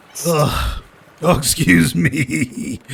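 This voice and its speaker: A man speaks in a put-on character voice at a medium pitch. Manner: careless, crude.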